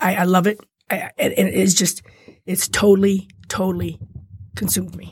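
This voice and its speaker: A woman speaking at a fairly quick pace. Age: 50s. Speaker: handbag designer and former prisoner. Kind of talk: interview, personal testimony. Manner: animated.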